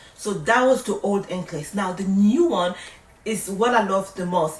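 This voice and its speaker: A woman with a French accent, lively intonation and a moderate pace over noticeable background noise. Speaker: nurse. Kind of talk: tutorial. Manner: casual, conversational.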